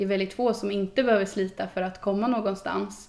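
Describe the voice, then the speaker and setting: A woman speaks in an ordinary speaking voice at medium pitch. Her pitch varies in an ordinary way. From Sweden, Östergötland (Boxholm). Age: 20s. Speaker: youth politician. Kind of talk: casual interview. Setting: on location.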